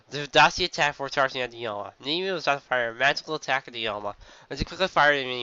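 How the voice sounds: Intonation stays lively in this natural reading voice.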